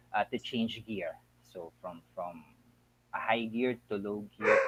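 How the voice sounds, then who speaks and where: Speaking at a very slow pace, a man is heard. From Philippines, Bataan. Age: 40s. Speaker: school administrator. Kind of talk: interview.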